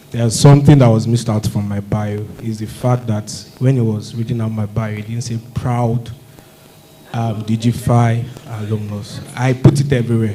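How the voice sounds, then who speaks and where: At medium pitch and a moderate pace, a man speaks in a monotone, flat way over noticeable background noise. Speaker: alumnus speaker at industry event. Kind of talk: testimonial speech. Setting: stage with audience, mics off. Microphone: no microphone, mics are off.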